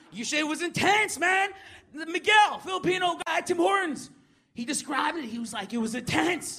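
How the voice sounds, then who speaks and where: This man's voice is extremely high in pitch, bright and sharp in tone, and raised and projected. He speaks at a moderate pace with lively intonation. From Manitoba reserve, Canada. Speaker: comedian and radio DJ. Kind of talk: stand-up and panel chat. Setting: stage with audience.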